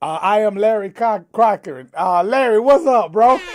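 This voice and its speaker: Loud and animated, a man talks at a high pitch. He keeps a moderate pace. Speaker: livestream talk show co-host. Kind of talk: casual chat.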